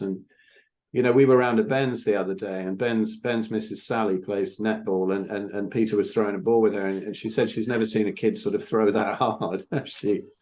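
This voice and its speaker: A man with an ordinary speaking voice talks fairly low, his intonation fairly even. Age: 60s. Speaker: podcast host. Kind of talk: casual chat.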